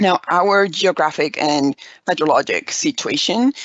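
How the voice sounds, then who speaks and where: A woman with a Spanish accent. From Mexico (Aguascalientes). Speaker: environmental educator. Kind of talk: conference presentation.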